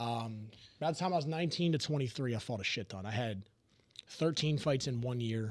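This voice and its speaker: Talking at a fairly quick pace, a man with an American accent has a medium pitch and ordinary pitch variation. It is a normal speaking voice. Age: 20s. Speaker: kickboxer and coach. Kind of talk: casual chat.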